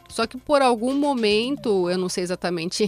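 A woman's pitch swings very widely while noticeable background noise sits behind her. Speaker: podcast co-host. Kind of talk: casual chat.

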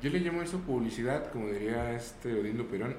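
Speaking at a fairly quick pace, a man with a medium pitch and ordinary pitch variation is heard over noticeable background noise and audible room echo. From Mexico, Zacatecas. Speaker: voice actor. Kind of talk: casual chat. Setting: studio.

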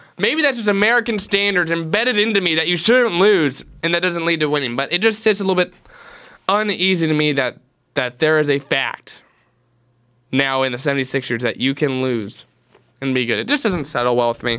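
With a bright, sharp tone and an animated delivery, a man speaks at a high pitch that moves in very wide swings. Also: fairly quick pace. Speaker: student radio sports host. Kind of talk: sports talk radio show. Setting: radio studio.

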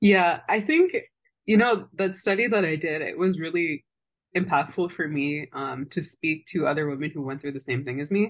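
Pitched fairly low, a woman speaks in a normal speaking voice with ordinary pitch variation. The pace is moderate and the background quiet. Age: 20s. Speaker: public health advocate living with lupus. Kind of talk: casual interview conversation.

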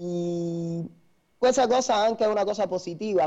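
Speaking fairly slowly, a man uses a high pitch with ordinary variation and a dark, mellow tone. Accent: Cuban. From Cuba. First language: Spanish (speaking Italian). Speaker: dancer, singer and dance teacher. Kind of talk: interview. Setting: live stream.

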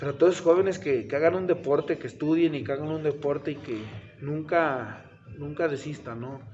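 Over noticeable background noise, a man with a central Mexican accent talks at a fairly high pitch with ordinary pitch variation. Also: moderate pace. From Mexico, Tlaxcala. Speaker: professional wrestler. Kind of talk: casual interview. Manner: halting, repeats words.

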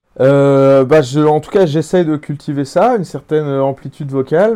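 Here the tone is dark and mellow. Pitch moves in an ordinary manner. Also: man. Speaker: singer. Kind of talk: interview.

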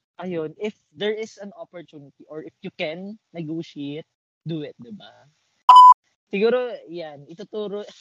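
The delivery is fairly slow, with ordinary pitch variation and big swings in loudness. The sound is dry and close with no echo. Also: man, high pitch for a man. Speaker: podcast co-host. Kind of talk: casual chat.

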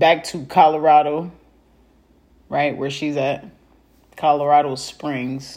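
A woman with a very deep, low pitch speaks at a very slow pace. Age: 30s. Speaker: podcaster. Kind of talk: casual personal update monologue. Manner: animated.

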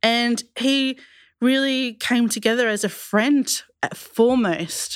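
Speaking very slowly in an Australian accent, a woman uses a high pitch and fairly even intonation on a very clean recording with a silent background. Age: 30s. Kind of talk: panel discussion, testimony. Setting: studio.

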